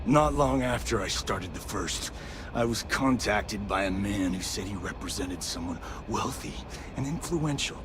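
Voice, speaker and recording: A man puts on a character voice, very deep and low in pitch, speaking at a moderate pace over loud background noise. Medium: video game. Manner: gruff, defiant.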